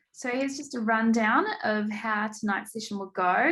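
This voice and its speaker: Fairly high in pitch, a woman's voice shows a slight New Zealand accent. Her pitch varies in an ordinary way. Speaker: program manager. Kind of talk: online event hosting.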